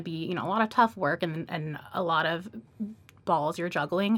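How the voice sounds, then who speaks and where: At a moderate pace, a woman with an American accent speaks in an unremarkable speaking voice, with ordinary pitch variation. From Atlanta, US South. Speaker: MBA student, podcast co-host. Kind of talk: casual chat. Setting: studio.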